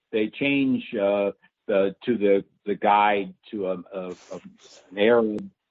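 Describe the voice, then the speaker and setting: Fairly even intonation runs through very slow speech. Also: man, fairly low pitch for a man. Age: 70s. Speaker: activist, founding director of an advocacy group. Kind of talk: interview. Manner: halting.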